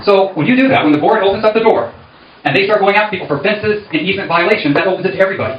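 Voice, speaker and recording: A man's high-pitched voice at a very fast pace, with noticeable background noise and audible room echo. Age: 60s. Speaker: candidate for community board. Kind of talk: campaign speech at meeting.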